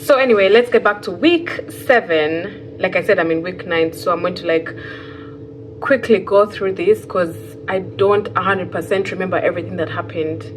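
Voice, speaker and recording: Ordinary pitch variation over music in the background. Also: woman, medium pitch for a woman, moderate pace. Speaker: fiber artist and vlogger. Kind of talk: casual vlog monologue. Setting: sitting on floor in new empty home. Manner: rambling, hesitant with fillers.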